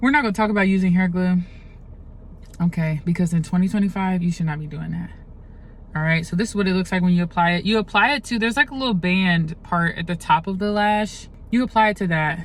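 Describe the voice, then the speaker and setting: Very fast, somewhat breathy speech with ordinary pitch variation. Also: woman, medium pitch for a woman. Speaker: makeup artist. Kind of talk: tutorial. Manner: casual, chatty.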